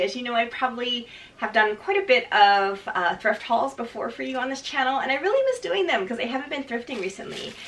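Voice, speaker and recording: A woman speaks at a fairly quick pace in a high voice with very wide pitch swings, over noticeable background noise. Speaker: fashion reseller vlogger. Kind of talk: casual haul video. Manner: fast.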